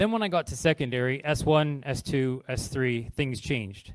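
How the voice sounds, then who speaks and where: A man's voice at a medium pitch. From Canada. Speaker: charity partnerships manager. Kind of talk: public talk. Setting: stage with audience.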